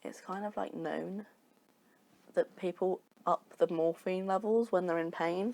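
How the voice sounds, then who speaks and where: A woman at medium pitch, fairly slow and fairly even in intonation, with long, frequent pauses and a dry, close sound free of echo. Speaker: podcast co-host. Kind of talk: casual chat.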